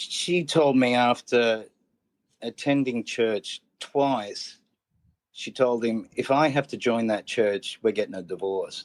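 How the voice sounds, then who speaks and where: Speaking at a very slow pace, a man at medium pitch talks with an Australian accent and ordinary pitch variation. The recording is very clean, with a silent background and a dry, close sound with no echo. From Australia, central Queensland. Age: 40s. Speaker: comedian and educator. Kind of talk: casual chat. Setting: podcast interview. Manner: halting.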